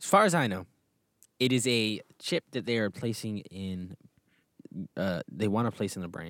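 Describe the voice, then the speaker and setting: Pausing long and often, a man with an American accent speaks at a fairly slow pace and fairly low pitch with lively intonation, the sound dry and close with no echo. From Texas. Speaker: podcast co-host, recent graduate. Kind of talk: casual chat.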